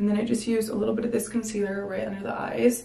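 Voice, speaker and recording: The intonation stays monotone and flat. Room echo is audible. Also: woman. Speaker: beauty vlogger. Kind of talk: makeup tutorial chat. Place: bathroom. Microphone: camera far.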